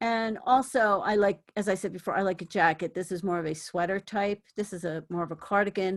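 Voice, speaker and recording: A woman with a plain, everyday voice talks at a moderate pace with fairly even intonation. The recording is very clean, with a silent background. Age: 60s. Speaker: thrift fashion vlogger. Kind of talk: casual vlog chat.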